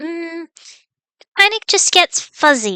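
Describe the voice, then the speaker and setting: In a squeaky, put-on character voice, a woman speaks at an extremely high pitch with very wide swings, the sound dry and close with no echo. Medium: actual play. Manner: hesitant, evasive.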